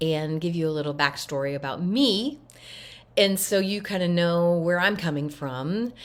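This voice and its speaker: With a fairly low pitch and ordinary pitch variation, a woman talks at a moderate pace in a normal speaking voice. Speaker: voice disorder recovery coach. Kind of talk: casual talk to camera.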